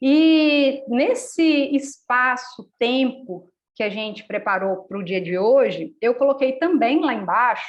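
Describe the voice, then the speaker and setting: A woman's high-pitched voice has lively intonation and moves at a very slow pace. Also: hardly any pauses. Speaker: workshop facilitator. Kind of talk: live online workshop talk.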